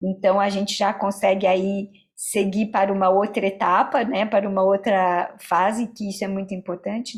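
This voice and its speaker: This woman has an ordinary speaking voice at a medium pitch. Her pace is fairly slow. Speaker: cultural policy lecturer. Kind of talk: lecture.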